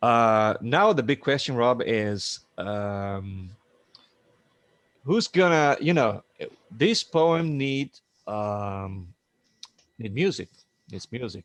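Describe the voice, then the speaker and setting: A man's very slow speech with a non-native accent, lively intonation and long, frequent pauses. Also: medium pitch for a man, dry, close sound with no echo. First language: not English. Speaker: musician. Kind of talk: casual chat. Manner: halting.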